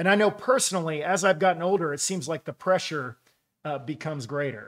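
A man's high-pitched voice at a moderate pace, with ordinary pitch variation, in a quiet background. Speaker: pastor. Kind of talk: sermon. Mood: warm, humorous storytelling. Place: studio.

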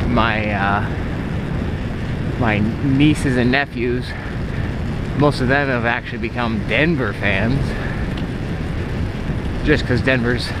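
A man speaks at a very slow pace, with long, frequent pauses. Loud background noise runs behind him. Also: dry sound with no echo. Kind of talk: casual vlog chat. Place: bicycle. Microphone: phone near.

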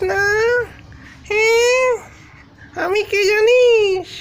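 In a put-on character voice, a man speaks at an extremely high pitch and a very slow pace over clear background noise. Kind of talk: comic spooky act. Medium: role play.

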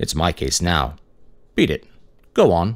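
A man's put-on character voice, very deep and low in pitch, at a moderate pace. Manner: calm, firm, dismissive.

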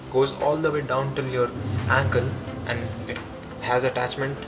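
A man at a moderate pace over loud background music. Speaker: fitness coach. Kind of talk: tutorial. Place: gym.

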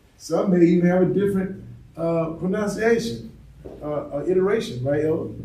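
A man with a high-pitched voice speaks amid audible room echo. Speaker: religious teacher. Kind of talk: sermon. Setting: congregation present in person. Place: home room.

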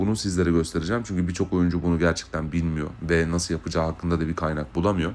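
A man is speaking. His pitch is very deep and low. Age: 20s. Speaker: gaming youtuber. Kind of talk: gameplay overview and channel introduction. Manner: hesitant, frequent fillers.

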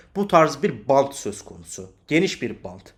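A man speaks at a fairly slow pace with lively intonation and vocal fry, recorded very cleanly against a silent background. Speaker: crypto market analyst. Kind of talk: market analysis video.

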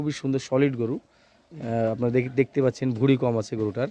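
A man with a plain, everyday voice speaks at a medium pitch with fairly even intonation, the sound dry and close with no echo. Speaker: cattle market vlogger. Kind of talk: vlog walkthrough. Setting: outdoors. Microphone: phone recording.

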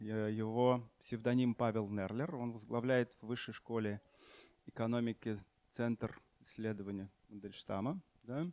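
A man's dark, mellow, medium-pitched voice at a fairly slow pace, with fairly even intonation, long, frequent pauses and dry sound with no echo. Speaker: panel moderator. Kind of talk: panel moderation. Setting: stage with audience. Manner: halting. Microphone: handheld.

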